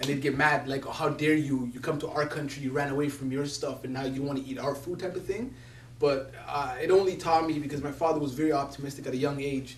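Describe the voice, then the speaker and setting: A man with a Somali accent at a fairly high pitch and a very fast pace, monotone and flat, with audible room echo and noticeable background noise. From Somalia, raised partly in Italy and Canada. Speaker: community youth worker and speaker. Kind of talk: personal testimony talk.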